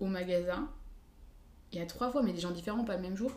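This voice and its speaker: Noticeable background noise and audible room echo around a woman's medium-pitched voice with ordinary pitch variation. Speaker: university student. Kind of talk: casual chat.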